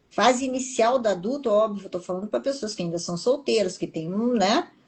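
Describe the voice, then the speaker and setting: Lively intonation runs through a somewhat breathy voice. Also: woman. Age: 60s. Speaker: TV professional and public speaker, interviewee. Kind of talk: interview.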